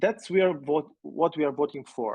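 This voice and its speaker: With a non-native accent, the speaker moves along at a fairly quick pace. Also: man. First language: not English. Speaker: board member. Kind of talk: formal meeting discussion. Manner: halting.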